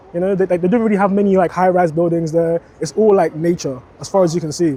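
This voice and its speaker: Over noticeable background noise, a man with a high pitch speaks at a very fast pace. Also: fairly even intonation. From Jamaica, then Sutton, London from age nine. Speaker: interviewee sharing life story. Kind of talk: casual interview. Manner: hesitant, many fillers.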